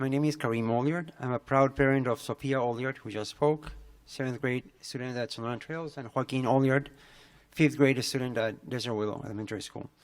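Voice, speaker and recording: With a Spanish accent, a man talks at a fairly quick pace, his intonation fairly even and his loudness swinging widely. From Peru. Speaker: parent public commenter. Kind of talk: public comment at board meeting. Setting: school board meeting. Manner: halting, many fillers.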